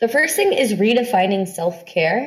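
An ordinary speaking voice from a woman, lively in intonation, at a moderate pace. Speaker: startup founder and self-care speaker. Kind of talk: workshop talk. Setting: video call.

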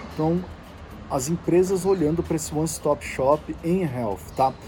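At a moderate pace, a man with an unremarkable speaking voice and a fairly high pitch talks with lively intonation. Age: 40s. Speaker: podcast host, health industry commentator. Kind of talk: solo news briefing. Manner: casual, conversational.

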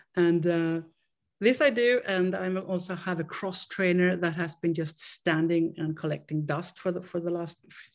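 In a very clean recording against a silent background, a woman talks with a Swedish accent. Her pitch sits fairly low and her pace is moderate. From Sweden. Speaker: interviewee sharing recovery story. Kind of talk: interview, personal testimony. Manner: halting.

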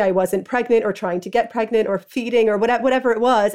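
Fairly quick, fairly even speech from a woman with a New York accent and fairly high pitch, on a very clean recording with a silent background. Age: 30s. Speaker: freelance writer. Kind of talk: interview testimony.

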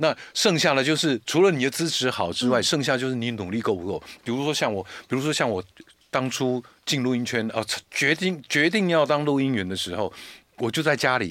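Using a normal speaking voice, a man talks at a fairly quick pace. His medium-pitched delivery has lively intonation. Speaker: commercial voice actor. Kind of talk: casual chat.

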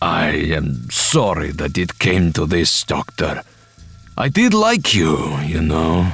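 Put on as a character voice, the speech is slow, with a fairly bright tone, a husky, rough edge and big pitch swings, over faint music in the background. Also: man, extremely low pitch for a man.

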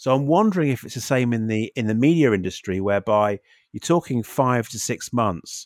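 A man speaks fairly quickly at medium pitch, his intonation lively and his loudness swinging widely. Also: dry, close sound with no echo, very clean recording, silent background. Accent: British. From UK. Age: 50s. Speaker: podcast co-host. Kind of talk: casual chat. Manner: halting, many repeated words.

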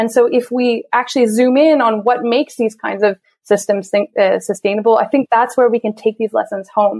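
A woman with a plain, everyday voice, fairly high in pitch, talks at a fairly quick pace with fairly even intonation and very even loudness, in a dry, close sound with no echo. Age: 30s. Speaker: sustainable food systems consultant. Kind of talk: interview.

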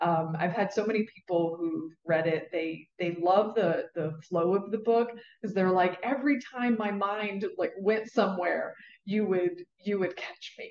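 A woman with an American accent speaks at a fairly slow pace in an unremarkable speaking voice, her medium pitch moving with ordinary variation. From Southwest Virginia, rural Appalachia. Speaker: neuroscience wealth mentor, former neurosurgery professional. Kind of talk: interview. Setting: live recording at an event.

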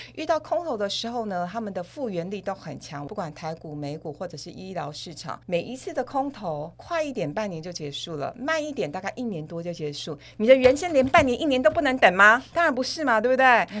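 The speaker goes at a fairly quick pace with hardly any pauses, big swings in loudness, and very wide pitch swings. The recording is very clean, with a silent background. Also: woman, fairly high pitch for a woman. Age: 50s. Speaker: financial expert. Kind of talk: podcast interview.

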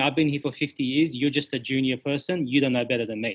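A man's very fast speech in an Australian accent, with ordinary pitch variation. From Sydney, Australia. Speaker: hospitality business owner. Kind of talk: interview conversation.

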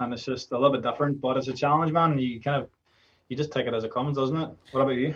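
A man with an Irish accent talks at a very fast pace and medium pitch. His voice is somewhat breathy, with fairly even intonation. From Ireland. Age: 20s. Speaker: DJ and music producer. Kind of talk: casual chat.

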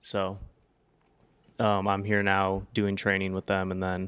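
A man with an American accent speaks at a fairly slow pace with a very deep, low pitch. His delivery is flat and monotone, on a very clean recording with a silent background. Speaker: state government employee. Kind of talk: casual chat. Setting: studio. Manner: soft-spoken.

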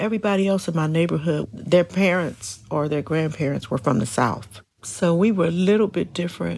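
A woman talks with hardly any pauses, her pitch swinging very widely and her voice showing vocal fry. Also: fairly low pitch for a woman. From US Midwest. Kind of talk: personal storytelling interview.

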